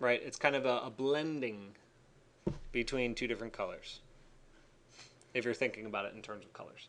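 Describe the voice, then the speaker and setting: A man talks at a fairly quick pace but with long, frequent pauses. His medium pitch keeps a fairly even intonation while his loudness swings a lot. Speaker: architecture instructor. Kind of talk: tutorial. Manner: casual, hesitant with fillers.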